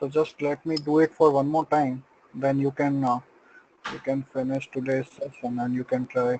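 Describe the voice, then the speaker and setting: In a dry, close sound with no echo, a man speaks at a fairly high pitch with monotone, flat intonation. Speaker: software trainer. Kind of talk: tutorial. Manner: slow.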